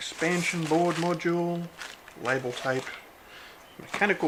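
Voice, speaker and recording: In an Australian accent, a man speaks with ordinary pitch variation. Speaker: electronics hobbyist. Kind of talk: casual unboxing talk to camera. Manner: casual, relaxed.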